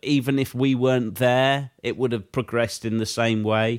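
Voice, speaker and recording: Over a silent background in a very clean recording, a man speaks with a British accent. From Britain. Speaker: podcast co-host. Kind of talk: casual chat.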